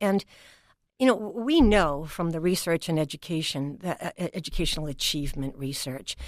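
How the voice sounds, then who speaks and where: With a New England accent, a woman speaks at a fairly quick pace in a fairly low pitch. Her intonation is lively. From New England, New Bedford, Massachusetts. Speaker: education leader, former dean. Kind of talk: interview conversation.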